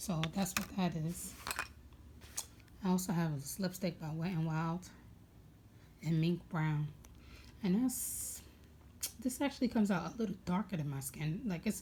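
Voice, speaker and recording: With an American accent, a woman speaks at a moderate pace in a fairly low, somewhat breathy voice with a dark, mellow tone and long, frequent pauses. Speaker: beauty vlogger. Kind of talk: casual makeup tutorial. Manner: casual, hesitant with many fillers.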